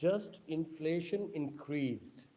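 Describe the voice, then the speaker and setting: A man's voice, fairly high in pitch, has a dark, mellow tone. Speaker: online speaker on social issues. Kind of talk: lecture. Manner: halting non-native phrasing.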